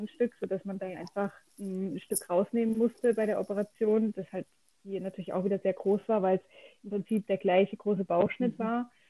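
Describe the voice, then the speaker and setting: Speaking at a fairly quick pace, a woman holds a medium pitch in a monotone, flat intonation, with a dry, close sound and no echo. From southwest Germany, near Freiburg. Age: 30s. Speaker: cancer patient. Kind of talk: casual interview.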